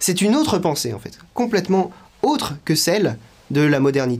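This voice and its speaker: Moderate speed with lively intonation. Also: man. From western France (La Rochelle); France. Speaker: political activist; interviewee. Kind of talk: interview testimony. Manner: hesitant, frequent fillers. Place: home room.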